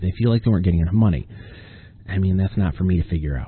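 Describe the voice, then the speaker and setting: A man speaks with a very deep, low voice. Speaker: podcast host and author. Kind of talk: solo casual monologue. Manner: rambling, hesitant with fillers.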